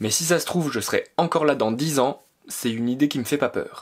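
A man with a fairly high pitch and ordinary pitch variation speaks at a fairly quick pace over a quiet background. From France, Alsace; France. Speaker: YouTuber, graphic designer living on a farm; YouTuber. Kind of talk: vlog Q&A monologue. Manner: enthusiastic. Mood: calm, reflective. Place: home room.

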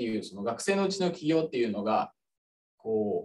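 Very wide pitch swings stand out over light background noise. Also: man. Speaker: student moderator. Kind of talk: webinar moderation. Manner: formal. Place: office. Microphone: studio mic.

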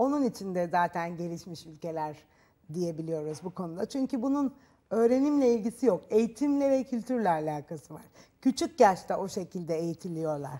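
A woman's voice has a dark, mellow tone and very wide pitch swings. The background is quiet. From Turkey. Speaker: talk show guest. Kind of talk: TV talk show interview. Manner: halting, with fillers. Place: studio. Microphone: lapel.

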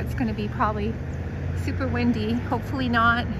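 A woman at a moderate pace, in a dry sound with no echo, with noticeable background noise. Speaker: live stream walking host. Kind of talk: casual vlog chat. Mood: cheerful, relaxed. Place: street. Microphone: phone near.

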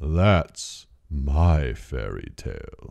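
A man does a put-on character voice with a very deep, low pitch. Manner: dramatic, ominous.

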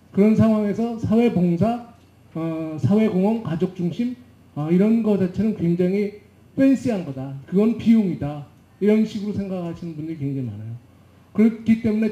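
The voice has a dark, mellow tone and lively intonation, moving at a fairly quick pace with audible room echo. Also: man. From South Korea. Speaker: management consultant; panelist. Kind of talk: panel discussion. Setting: conference stage with audience. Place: hall. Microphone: handheld.

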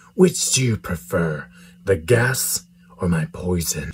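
Using lively intonation, a man with a very deep, low pitch talks at a fairly slow pace. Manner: menacing, smug.

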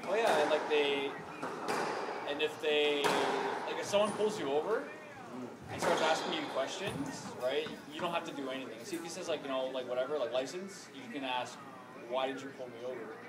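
The man moves at a fairly quick pace, pitch varying in an ordinary way, while loud noise fills the background. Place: hall. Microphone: camera far.

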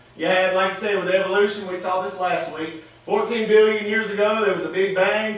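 With audible room echo, a man speaks at a moderate pace in a high pitch. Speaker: preacher. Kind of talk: sermon. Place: church. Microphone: camera far.

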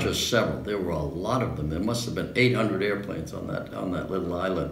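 Over light background noise and audible room echo, a man with a very deep, low voice talks very fast with ordinary pitch variation. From New York City. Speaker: World War II veteran fighter pilot. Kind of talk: interview answer. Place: home room. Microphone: camera far.

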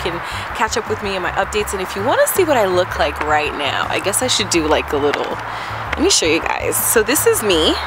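Music plays in the background as a woman talks at a very fast pace, the sound dry with no echo. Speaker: vlogger. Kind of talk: casual vlog chat.

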